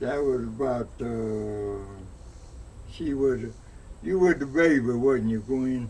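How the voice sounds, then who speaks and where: Speaking at a very slow pace with long, frequent pauses, a man with an Alabama accent is heard over audible room echo. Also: medium pitch for a man, ordinary pitch variation. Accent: Southern US (Alabama). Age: 90s. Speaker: elderly interviewee. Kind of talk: oral history interview. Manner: halting.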